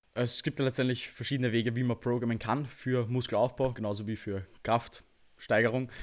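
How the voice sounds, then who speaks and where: Using a monotone, flat intonation, a man with a medium-pitched voice speaks at a fairly quick pace. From Austria. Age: 20s. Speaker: bodybuilder and online coach. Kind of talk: podcast interview.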